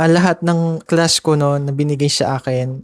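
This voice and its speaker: A man speaks at a fairly high pitch in a monotone, flat intonation. The sound is dry and close, with no echo. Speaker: podcaster. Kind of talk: personal storytelling podcast. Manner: casual, conversational.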